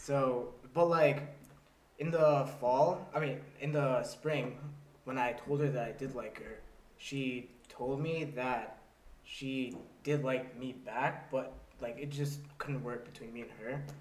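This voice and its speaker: Noticeable background noise sits behind a man speaking at a medium pitch and a very slow pace. His intonation is fairly even, while his loudness swings widely. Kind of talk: casual comedic podcast chat.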